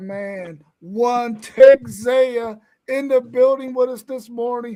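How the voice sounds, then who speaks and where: The man's pitch is extremely high. He talks at a very slow pace. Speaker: sports talk show host. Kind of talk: casual chat, show introductions. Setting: live stream. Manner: loud.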